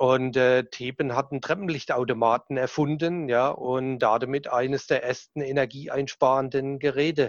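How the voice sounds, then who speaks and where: A man at medium pitch and moderate pace. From southern Germany. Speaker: sales manager. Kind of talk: casual interview chat.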